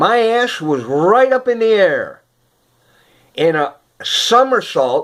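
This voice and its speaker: A man speaks at a very slow pace with long, frequent pauses. The recording is very clean, with a silent background. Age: 70s. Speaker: elderly electric unicycle rider vlogger. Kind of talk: casual video diary. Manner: halting, many fillers.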